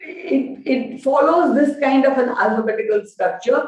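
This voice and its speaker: In a Gujarati accent, a woman talks at a fairly slow pace, with audible room echo around her. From India, Gujarati-speaking. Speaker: education professor. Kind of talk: lecture.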